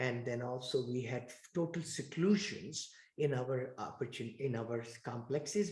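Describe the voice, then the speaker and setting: A man's somewhat breathy voice at a medium pitch, fairly slow in pace, with ordinary pitch variation. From India. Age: 60s. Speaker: real estate investor. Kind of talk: interview.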